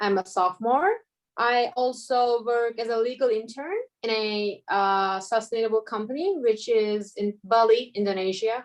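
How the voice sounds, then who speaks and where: Using ordinary pitch variation, the speaker talks at a fairly slow pace in a Turkish accent. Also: woman. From Turkey, Istanbul. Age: 20s. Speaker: law student. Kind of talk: casual interview.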